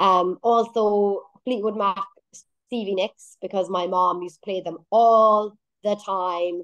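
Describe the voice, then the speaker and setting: A woman speaks in an Irish accent at a medium pitch. Her intonation is fairly even. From Ireland. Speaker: singer-songwriter. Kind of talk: radio interview.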